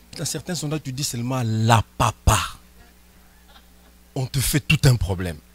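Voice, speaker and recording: A man's medium-pitched voice at a fairly slow pace, with ordinary pitch variation, dry and close with no echo, over noticeable background noise. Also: long, frequent pauses, big swings in loudness. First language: not French (speaking French). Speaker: pastor. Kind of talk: sermon.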